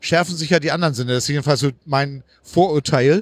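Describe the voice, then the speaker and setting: On a very clean recording with a silent background, a man talks with ordinary pitch variation. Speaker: podcast host, wheelchair user. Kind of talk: casual interview on location. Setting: walking through a crowded convention hall. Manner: hesitant, many fillers.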